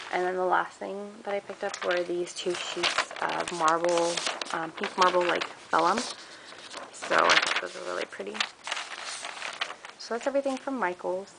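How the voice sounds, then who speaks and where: A woman talks at a moderate pace with ordinary pitch variation. Loud background noise runs behind her. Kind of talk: casual haul vlog chat. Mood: cheerful, enthusiastic. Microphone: phone near.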